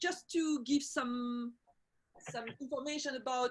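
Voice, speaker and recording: With a French accent, a woman talks in a bright, sharp tone at a high pitch, her pitch varying in an ordinary way. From Belgium and Portugal. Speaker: women's circle facilitator. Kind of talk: online video call conversation. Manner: halting, many fillers.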